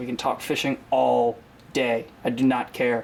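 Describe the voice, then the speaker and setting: A man with an American accent speaks at a medium pitch over noticeable background noise. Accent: slips into a southern US. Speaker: fishing YouTuber. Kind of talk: casual tutorial to camera. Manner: frequent filler 'um', casual.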